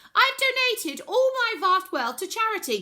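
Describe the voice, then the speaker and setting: A woman's squeaky, extremely high put-on character voice, raised and projected, at a moderate pace. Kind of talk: mock television statement. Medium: read story.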